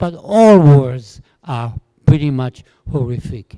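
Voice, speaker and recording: With lively intonation and a dark, mellow tone, a man speaks at a very slow pace in a dry, close sound with no echo. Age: 80s+. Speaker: Holocaust survivor speaker. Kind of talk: testimony.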